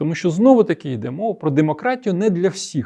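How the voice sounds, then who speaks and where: High male pitch swinging very widely. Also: quiet background. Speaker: political video blogger and former MP. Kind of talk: political commentary monologue.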